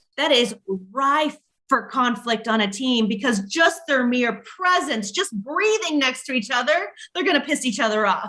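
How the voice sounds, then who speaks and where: An animated woman's raised, projected voice, high-pitched with lively intonation, moderate pace and very even loudness. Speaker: business coach. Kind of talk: podcast interview.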